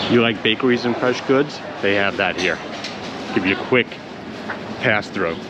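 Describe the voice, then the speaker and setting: A man at medium pitch, moderate pace and ordinary pitch variation, with long, frequent pauses and noticeable background noise. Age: 60s. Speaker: travel vlogger. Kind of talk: walking tour commentary. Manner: casual, conversational.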